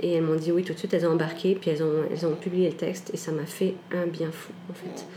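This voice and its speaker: Speaking at a very fast pace with hardly any pauses, a woman with a fairly low pitch keeps a monotone, flat intonation amid noticeable background noise and audible room echo. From Canada (Quebec), with stays in France. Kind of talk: personal testimony interview. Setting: at home.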